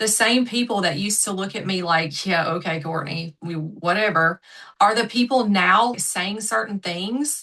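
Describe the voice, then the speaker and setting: With a strong Southern US accent, the voice has a bright, sharp tone, ordinary pitch variation and a moderate pace. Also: woman. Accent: thick Southern US. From US South, South Georgia. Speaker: manifestation coach. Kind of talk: podcast interview. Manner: animated.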